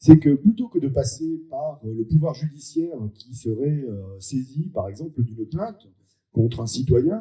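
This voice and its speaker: A man with fairly high pitch and a dark, mellow tone speaks somewhat breathily at a fairly slow pace. His pitch swings very widely and his loudness swings a lot. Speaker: member of parliament. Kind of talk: public meeting speech. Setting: public meeting with audience. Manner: hesitant, many filler sounds.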